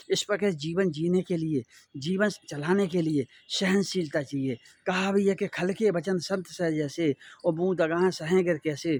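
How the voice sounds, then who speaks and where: A man talks in an unremarkable speaking voice at a fairly high pitch. The sound is dry and close, with no echo. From India, Bundelkhand (Chhatarpur, Madhya Pradesh). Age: 60s. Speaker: spiritual social motivational speaker. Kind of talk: moral talk to viewers.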